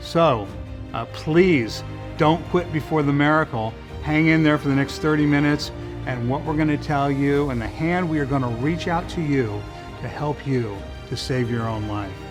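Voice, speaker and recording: Music plays in the background as a man speaks at a moderate pace, his pitch fairly high with ordinary variation. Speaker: treatment center president, recovering addict. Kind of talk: infomercial address to camera.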